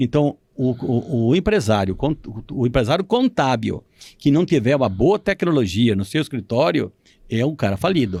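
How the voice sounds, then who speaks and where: A man at a moderate pace with very wide pitch swings, in a very clean recording with a silent background. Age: 70s. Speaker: retired accountant and business owner. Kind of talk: interview. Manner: halting.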